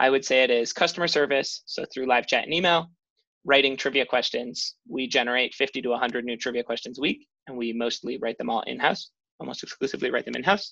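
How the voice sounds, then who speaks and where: A man with an American accent, a bright, sharp tone at medium pitch, ordinary pitch variation and a fairly quick pace. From Chicago, US Midwest. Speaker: startup founder. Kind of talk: interview. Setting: video call.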